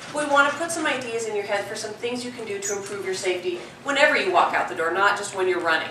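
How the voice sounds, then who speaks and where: A woman talking at a very fast pace with hardly any pauses, amid noticeable background noise and audible room echo. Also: medium pitch for a woman, lively intonation. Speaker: police detective. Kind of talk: public safety talk. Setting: talk with live audience and microphone. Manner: loud.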